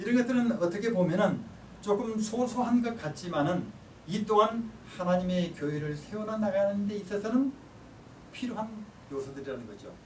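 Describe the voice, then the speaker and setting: A man speaks at a moderate pace in a high voice with lively intonation and big swings in loudness. Audible room echo and noticeable background noise surround him. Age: 60s. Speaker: professor. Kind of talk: lecture.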